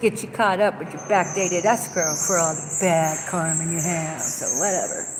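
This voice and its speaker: A woman with a fairly low voice speaks at a moderate pace with hardly any pauses and fairly even intonation, amid audible room echo and noticeable background noise. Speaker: vlogger. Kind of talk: casual monologue vlog. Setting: inside a store. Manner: loud.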